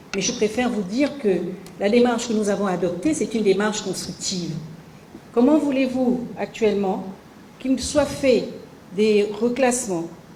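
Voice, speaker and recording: With long, frequent pauses, a woman with a fairly high pitch speaks at a moderate pace amid noticeable background noise. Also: ordinary pitch variation. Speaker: government minister of the civil service. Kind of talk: official interview answer.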